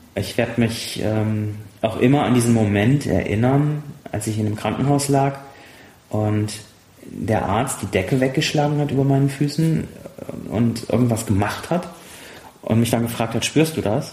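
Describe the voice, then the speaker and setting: A man's medium-pitched voice at a moderate pace, with ordinary pitch variation, long, frequent pauses and audible room echo. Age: 30s. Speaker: pilot and former paralympic sailor. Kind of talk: casual interview. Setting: half-emptied apartment.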